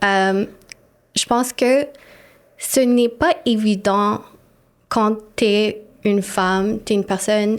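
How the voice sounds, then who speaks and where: Speaking very slowly with long, frequent pauses, a woman with an English accent keeps her fairly high voice at a very even loudness and a fairly even intonation. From Montreal, Quebec. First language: English (speaking French). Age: 30s. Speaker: city councillor. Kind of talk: interview conversation.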